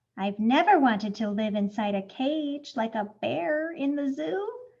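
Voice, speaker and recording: The woman takes on a put-on character voice pitched high. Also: moderate pace. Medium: read story. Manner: innocent, wondering.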